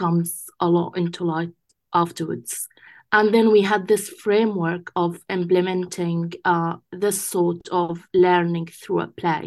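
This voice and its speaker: The voice carries an Arabic accent and a monotone, flat intonation. The background is quiet. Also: woman. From Gaza, Palestine. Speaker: English teacher. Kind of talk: interview.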